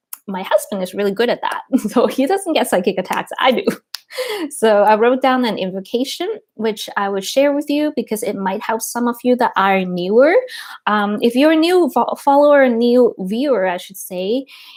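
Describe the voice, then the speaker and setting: Her high-pitched voice carries lively intonation as this woman speaks. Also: moderate pace. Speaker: spiritual teacher and channeler. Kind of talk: live stream talk and guided energy practice. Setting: live stream. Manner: playful, upbeat.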